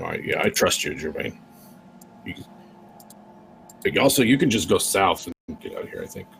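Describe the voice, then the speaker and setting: Raspy and at a fairly quick pace, a man uses a put-on character voice broken by long, frequent pauses. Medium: actual play. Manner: hesitant, casual.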